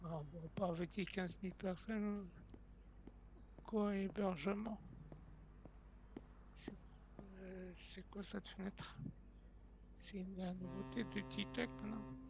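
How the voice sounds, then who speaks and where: Long pauses come often as this man talks. His delivery is very slow. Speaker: gaming streamer. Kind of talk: live gameplay stream. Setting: live stream on TikTok. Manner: casual, hesitant with many fillers.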